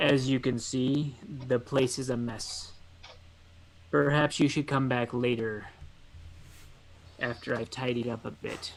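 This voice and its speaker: In a put-on character voice, a man speaks at a medium pitch and a fairly slow pace. Long, frequent pauses break up his speech over clear background noise. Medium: actual play. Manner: plain, curt.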